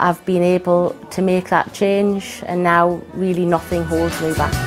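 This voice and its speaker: A woman's fairly low, monotone, flat voice at a fairly slow pace, with clear music in the background. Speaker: company employee. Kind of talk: interview answer. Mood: earnest, positive. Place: office. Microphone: lapel.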